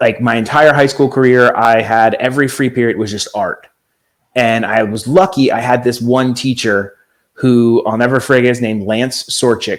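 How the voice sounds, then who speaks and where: A man with an ordinary speaking voice talks at a moderate pace, his medium pitch following fairly even intonation. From Italian-American family. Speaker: YouTube vlogger and graphic designer. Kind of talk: casual chat.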